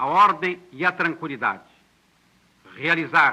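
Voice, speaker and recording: Very slow, high-pitched male voice with a bright, sharp tone. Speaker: government minister of justice. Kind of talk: formal political address on national radio and television. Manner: solemn, measured, formal.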